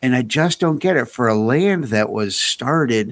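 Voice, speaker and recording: In an American accent, a man has an ordinary speaking voice at medium pitch and a moderate pace, recorded very cleanly against a silent background. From United States. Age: 50s. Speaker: podcast co-host. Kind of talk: casual chat.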